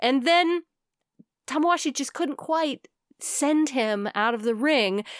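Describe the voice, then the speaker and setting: Swinging very widely in pitch, a woman talks at a fairly slow pace with a dry, close sound and no echo. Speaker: podcast host. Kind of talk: casual chat.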